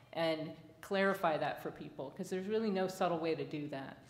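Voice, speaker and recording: Fairly low-pitched, a woman uses an unremarkable speaking voice with ordinary pitch variation. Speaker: engineering professor. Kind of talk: conference panel discussion. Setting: stage with audience.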